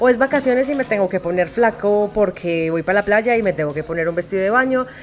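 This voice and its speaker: A woman talks at a fairly quick pace. Noticeable background noise runs behind her. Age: 30s. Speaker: podcast host and voice-over artist. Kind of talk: casual chat. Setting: recorded at a clothing fair with crowd.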